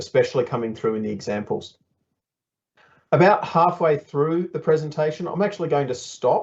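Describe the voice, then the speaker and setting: With an Australian accent, the speaker talks with lively intonation. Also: man. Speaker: software developer presenting at workshop. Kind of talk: workshop presentation. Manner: conversational, with frequent fillers.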